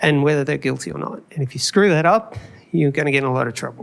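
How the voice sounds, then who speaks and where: With an Australian accent, a man speaks at a very fast pace in a fairly high voice with ordinary pitch variation. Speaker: conference speaker, video engineer. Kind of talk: conference talk. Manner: casual, conversational.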